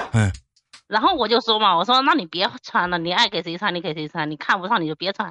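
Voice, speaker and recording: A woman with a slight Henan accent talks at a very fast pace with lively intonation. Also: medium pitch for a woman. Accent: little Henan. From Xinyang, Henan, China. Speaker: call-in guest. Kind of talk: casual chat.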